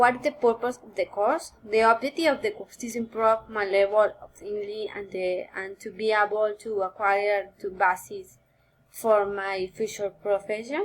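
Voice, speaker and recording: Recorded very cleanly against a silent background, a voice in a Spanish accent moves at a moderate pace with big swings in loudness. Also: woman, fairly high pitch for a woman, ordinary pitch variation. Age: 20s. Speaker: university student. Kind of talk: recorded course assignment answering questions. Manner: halting, with many fillers.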